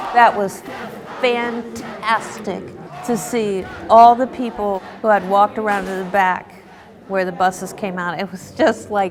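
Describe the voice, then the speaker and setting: Speech at a fairly slow pace, with noticeable background noise behind it. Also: woman. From United States. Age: 50s. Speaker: activist. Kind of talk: interview. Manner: casual, conversational.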